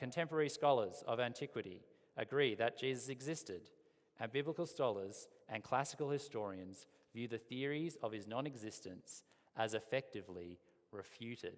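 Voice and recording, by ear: A man puts on a robotic character voice at a medium pitch and a moderate pace.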